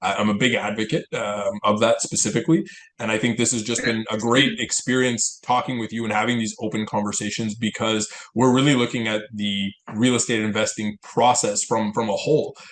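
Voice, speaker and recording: A man at a medium pitch talks fairly quickly, his intonation fairly even. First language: Italian. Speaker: financial advisor and podcast co-host. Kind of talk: casual chat. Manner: halting, many repeated words.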